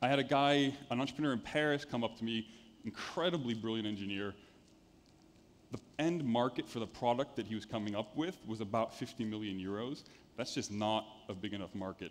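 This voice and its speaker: A man with an American accent speaks fairly quickly at a medium pitch, with ordinary pitch variation. He has a plain, everyday voice. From United States. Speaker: venture capital investor. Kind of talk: conference talk. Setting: stage with audience.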